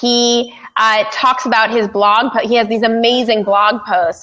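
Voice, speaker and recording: A woman speaks in an animated tone at a fairly high pitch, with ordinary pitch variation. Noticeable background noise runs behind her. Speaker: podcaster and podcast producer. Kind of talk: casual chat. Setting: studio.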